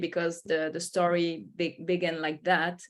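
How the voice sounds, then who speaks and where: A woman's voice with a French accent. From France. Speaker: company founder and boat captain. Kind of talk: panel webinar discussion.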